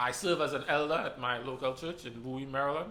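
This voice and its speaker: The man has a Trinidadian accent and a fairly high pitch. His tone is bright and sharp, with audible room echo. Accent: Trinidadian, persistent. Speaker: church elder. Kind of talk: casual panel discussion.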